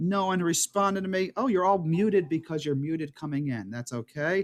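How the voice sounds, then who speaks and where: A man speaks with an American accent. His pitch is high, with ordinary variation. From New York City (Brighton Beach, Brooklyn). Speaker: rabbi teaching an adult class. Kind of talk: online class introduction. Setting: video call from home bedroom.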